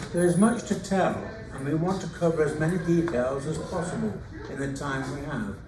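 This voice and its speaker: In an English accent, a man talks at a fairly quick pace with ordinary pitch variation, with noticeable background noise and audible room echo. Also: fairly high pitch for a man. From England. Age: 90s. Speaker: retired teacher and author. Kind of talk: reading aloud. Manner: halting.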